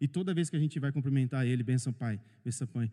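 A man with a dark, mellow tone speaks at a fairly quick pace with ordinary pitch variation. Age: 40s. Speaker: pastor. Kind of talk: sermon. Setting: church, livestreamed.

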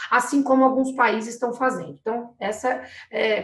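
Noticeable background noise behind a woman with a fairly high pitch. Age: 40s. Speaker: municipal economic development secretary. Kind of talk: live webinar interview. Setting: video call live stream.

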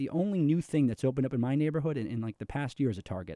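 In a very clean recording with a silent background and a dry, close sound with no echo, a man with an American accent speaks in a dark, mellow tone with ordinary pitch variation. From New York City. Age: 20s. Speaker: political candidate. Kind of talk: interview.

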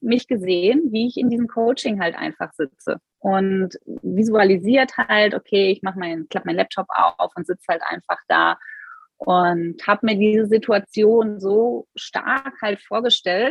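This woman has a normal speaking voice with a fairly high pitch. She speaks at a fairly slow pace with ordinary pitch variation. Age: 30s. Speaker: business coach. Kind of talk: interview.

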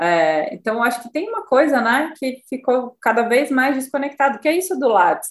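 A woman speaks with a high voice. Her pitch swings very widely. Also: hardly any pauses. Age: 40s. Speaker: psychoanalyst and podcast co-host. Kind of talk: casual chat.

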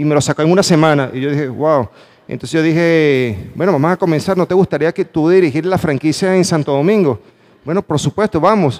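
In a Venezuelan accent, a man speaks at a fairly quick pace and fairly high pitch with ordinary pitch variation, the sound dry and close with no echo. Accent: Venezuelan, noticeable to Panamanians. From Venezuela, Valencia. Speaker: motivational speaker. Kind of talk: motivational talk. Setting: stage with audience. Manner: animated.

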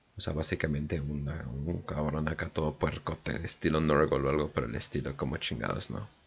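With noticeable background noise behind him, a man with a very deep, low pitch talks at a fairly quick pace, with fairly even intonation and hardly any pauses. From northern Mexico. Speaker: podcast host. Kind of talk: casual chat; reading aloud. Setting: livestream.

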